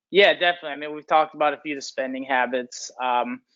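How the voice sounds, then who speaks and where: This man has an American accent and talks at a very fast pace. His intonation stays fairly even. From Chicago, US Midwest. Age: 20s. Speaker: former college football player. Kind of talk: interview. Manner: many fillers, 'you know' repeated.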